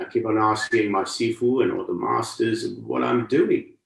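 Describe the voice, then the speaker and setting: A moderate pace with audible room echo. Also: man. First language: Cantonese. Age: 60s. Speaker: martial arts and meditation teacher. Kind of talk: lecture. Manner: conversational, with repeated rhetorical questions.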